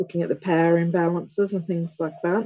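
A woman speaks with an Australian accent. Her fairly low voice has a dark, mellow tone. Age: 50s. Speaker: professor and midwife. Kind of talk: interview.

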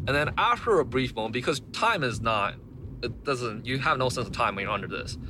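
Speaking at a fairly quick pace, a man has a bright, sharp tone with vocal fry, a medium pitch and ordinary pitch variation. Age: 20s. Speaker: psychedelic experience sharer. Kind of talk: casual chat. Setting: in a car.

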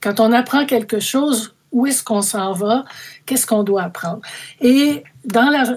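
A woman talks at a fairly slow pace with lively intonation over noticeable background noise. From Quebec. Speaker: mathematics professor. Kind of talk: interview. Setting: remote call.

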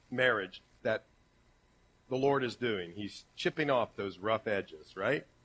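With an Ohio accent, a man speaks at medium pitch. He leaves long, frequent pauses. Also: quiet background. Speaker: pastor. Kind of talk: sermon. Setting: church with congregation. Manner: casual, conversational with fillers.

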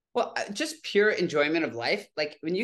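Against a quiet background, a man with an unremarkable speaking voice and a Canadian accent talks at a moderate pace, using a fairly high pitch and lively intonation. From Toronto, Canada. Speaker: plastic surgeon and entrepreneur. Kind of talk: casual interview chat.

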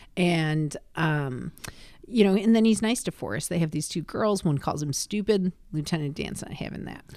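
A woman at a fairly low pitch with an unremarkable speaking voice, lively intonation, a moderate pace and big swings in loudness. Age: middle-aged. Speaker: comedian. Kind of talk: casual chat.

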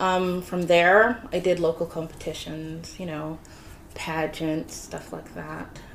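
Against noticeable background noise, the speech is very slow and fairly even in intonation, with big swings in loudness. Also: woman, fairly low pitch for a woman. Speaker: singer, recording artist. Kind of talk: casual interview.

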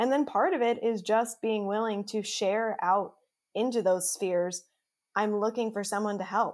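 A woman with an American accent speaks in a plain, everyday voice at a fairly high pitch and a moderate pace. Her intonation is fairly even, and the recording is very clean with a silent background. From Pennsylvania. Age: 20s. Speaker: city council member and nonprofit director. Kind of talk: interview.

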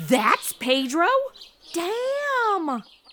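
A woman speaks in a raised, projected voice with an animated tone. Her pitch swings very widely. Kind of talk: comedic radio-drama parody, modern snark over old Western. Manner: sarcastic, animated, quippy.

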